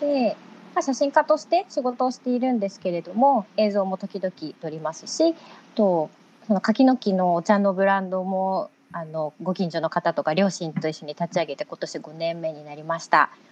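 Speaking at a moderate pace in a dry, close sound with no echo, a woman uses a medium pitch with very wide pitch swings and big swings in loudness. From Shimane, western Japan. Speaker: photographer. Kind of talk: casual chat.

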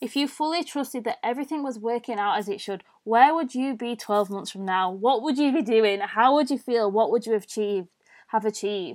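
With a British accent, a woman speaks at a fairly high pitch and a fairly quick pace, using ordinary pitch variation. The recording is very clean, with a silent background. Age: 20s. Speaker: mindset and self-love coach, podcast host. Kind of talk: solo podcast monologue. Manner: informal, conversational.

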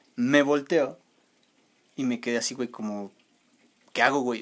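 Speaking at a moderate pace with a Mexican accent, a man uses a medium pitch in a very clean recording with a silent background. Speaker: podcast co-host. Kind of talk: casual chat; storytelling.

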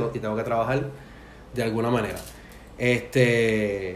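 There is audible room echo and noticeable background noise. The voice belongs to a man. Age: 40s. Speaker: podcast host. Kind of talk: casual chat.

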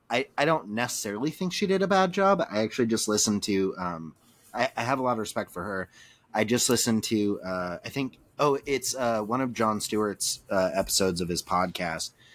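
A man speaks in a normal speaking voice at a medium pitch. His pace is fairly quick, his intonation lively, and the recording very clean with a silent background. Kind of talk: casual chat.

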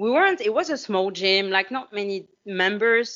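A woman with a French accent speaks at a medium pitch. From France. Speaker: fitness coach. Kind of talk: casual chat. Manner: animated.

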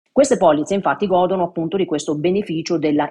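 A normal speaking voice from a woman, fairly low in pitch, with lively intonation and a fairly quick pace. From Italy, Matera (Basilicata). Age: 50s. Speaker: financial and insurance advisor. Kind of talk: expert explanation. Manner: formal.

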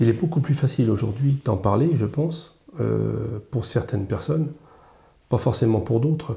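A man's dark, mellow voice with vocal fry, lively intonation and a moderate pace. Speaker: retired business owner. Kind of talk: casual chat.

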